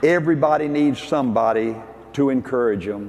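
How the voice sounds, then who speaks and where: Someone with a Southern US accent speaks at a moderate pace with ordinary pitch variation, amid noticeable background noise and audible room echo. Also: man. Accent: Southern US (Georgia). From US South. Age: 70s. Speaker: business leader and motivational speaker. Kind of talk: motivational speech. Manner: animated.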